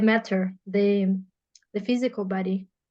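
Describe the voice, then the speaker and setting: Fairly even intonation in a Portuguese accent, against a quiet background. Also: woman. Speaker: podcast host and therapeutic practitioner. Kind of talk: casual interview conversation. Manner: halting, with frequent repetitions.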